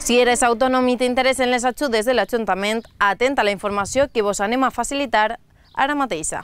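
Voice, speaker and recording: A woman talks at a very fast pace with a high pitch and ordinary pitch variation. Her loudness stays very even, and the sound is dry with no echo. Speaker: news presenter. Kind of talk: news reading. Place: open country. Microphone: lapel.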